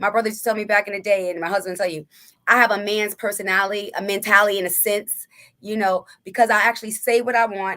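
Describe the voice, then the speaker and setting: A woman with medium pitch talks at a very fast pace in a monotone, flat intonation. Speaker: podcast co-host. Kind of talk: casual chat.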